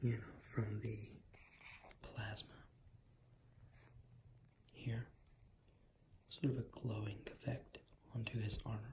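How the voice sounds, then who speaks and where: Soft-spoken and relaxed, a man talks at a very slow pace with long, frequent pauses, his medium-pitched voice somewhat breathy and his intonation monotone and flat. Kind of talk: ASMR ramble to camera. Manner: soft-spoken, relaxed.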